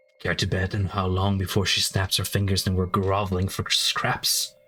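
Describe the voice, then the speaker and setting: This man puts on a character voice. It sits very deep and low in pitch, at a moderate pace. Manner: wry, cynical.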